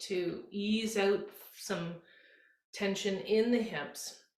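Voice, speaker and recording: Audible room echo surrounds a woman speaking in a gentle tone. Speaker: yoga instructor. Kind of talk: guided yoga class instruction. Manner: slow, gentle.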